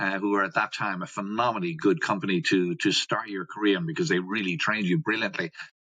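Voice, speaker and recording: Speaking at a very fast pace, a man with an Irish accent has a fairly low pitch, a bright, sharp tone and lively intonation. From Ireland. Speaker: customer experience educator, company founder. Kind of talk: podcast interview.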